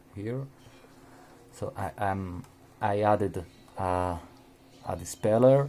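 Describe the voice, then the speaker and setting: A man with a Spanish accent, very slow, with long, frequent pauses and a dark, mellow tone. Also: fairly low pitch for a man, ordinary pitch variation. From Spain. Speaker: RC hobbyist. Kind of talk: tutorial. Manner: halting, with many repeated words.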